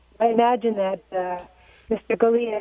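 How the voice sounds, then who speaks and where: A woman's pitch shifts in an ordinary way over noticeable background noise. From Maryland Eastern Shore. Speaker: caller. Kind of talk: call-in discussion. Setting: phone call.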